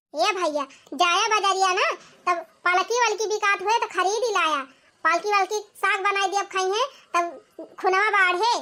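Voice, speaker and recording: A woman uses a cartoonish character voice. It is squeaky and extremely high in pitch. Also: moderate pace, very even loudness. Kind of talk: village comic cartoon. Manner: chatty, folksy, theatrical.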